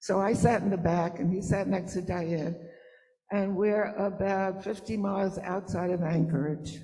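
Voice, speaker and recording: At a moderate pace, the speech comes with audible room echo and noticeable background noise. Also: woman, medium pitch for a woman. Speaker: mother of the honoree. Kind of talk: storytelling at event.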